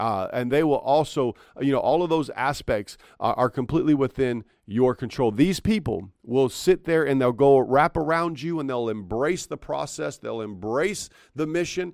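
In an animated tone, a man with a fairly high voice and lively intonation speaks at a moderate pace, the sound dry and close with no echo on a very clean recording with a silent background. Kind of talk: pep talk. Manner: earnest, direct and exhortative, speaking straight to the listener; animated, repeating phrases for emphasis.

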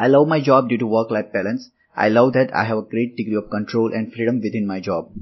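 A man with a Gujarati accent talks at a very fast pace, his medium-pitched voice holding a fairly even intonation. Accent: Indian English (Gujarati). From India, Gujarat (Ahmedabad). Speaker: software developer. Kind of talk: interview answers, apparently prepared. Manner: formal.

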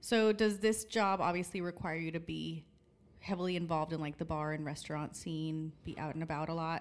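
A woman with an ordinary speaking voice talks at a fairly quick pace, her pitch fairly low and her intonation fairly even. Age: 30s. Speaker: podcast host. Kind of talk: casual chat.

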